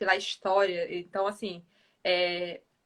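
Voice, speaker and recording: A woman speaks in a northeastern Brazilian accent. Her tone is bright and sharp. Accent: northeastern Brazilian, noticeable. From Northeast Brazil, Piauí. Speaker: financial organization expert. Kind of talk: live-stream interview chat.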